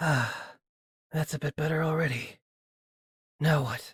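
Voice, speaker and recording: This man uses a put-on character voice, raspy and fairly high in pitch. He delivers it at a fairly slow pace. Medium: read story. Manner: dry, teasing humor.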